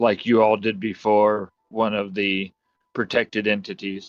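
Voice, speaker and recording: Using a put-on character voice, a man speaks at a moderate pace in a fairly low, monotone pitch with flat intonation. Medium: actual play. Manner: formal, earnest.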